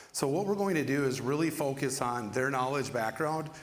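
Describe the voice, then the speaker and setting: With a Minnesotan accent, a man speaks at medium pitch and a moderate pace in audible room echo. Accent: Minnesota. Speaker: panel moderator, ed tech specialist. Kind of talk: panel discussion hosting. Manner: casual with frequent fillers.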